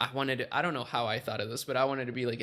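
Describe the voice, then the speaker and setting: A man's medium-pitched voice in a monotone, flat intonation, on a very clean recording with a silent background. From Chile. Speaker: entrepreneur. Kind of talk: casual interview chat.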